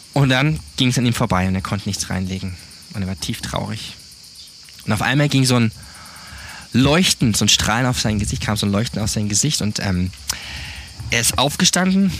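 With lively intonation and a moderate pace, a man talks over noticeable background noise. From southern Germany, South Baden. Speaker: church planter. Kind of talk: interview testimony.

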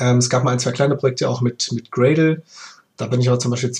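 This man's voice sits at medium pitch with fairly even intonation. It sounds somewhat breathy. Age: 30s. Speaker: freelance DevOps engineer. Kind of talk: casual chat.

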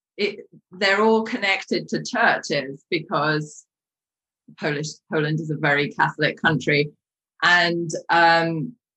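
A woman with a British accent speaks slowly-ish, at a fairly slow pace, her fairly low voice bright and sharp in tone with ordinary pitch variation. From UK. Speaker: life coach. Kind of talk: interview.

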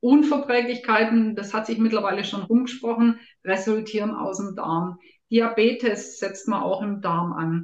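At a fairly slow pace, a woman talks in a fairly high pitch with an ordinary speaking voice. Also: ordinary pitch variation. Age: 50s. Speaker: health coach and nutrition expert. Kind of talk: interview.

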